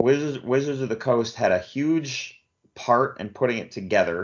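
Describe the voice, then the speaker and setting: Male speech in an ordinary speaking voice, at a moderate pace and with ordinary pitch variation. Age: 40s. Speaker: podcast host. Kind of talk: casual chat.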